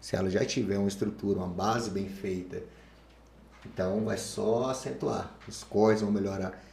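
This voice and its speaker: There is noticeable background noise as a man speaks. His pitch is fairly low, and his pace is moderate. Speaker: fitness coach. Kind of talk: casual chat.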